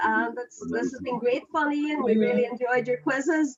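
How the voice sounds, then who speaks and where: Moderately paced, the speech comes in a Northern Irish accent with ordinary pitch variation. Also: woman. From Ireland. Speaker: quiz team captain. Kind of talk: casual chat.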